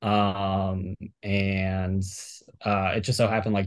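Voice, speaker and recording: In a very clean recording with a silent background, a man with an American accent speaks at fairly low pitch in a monotone, flat intonation. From Miami, Florida. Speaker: professional fantasy sports player. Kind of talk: casual interview. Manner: many fillers and restarts.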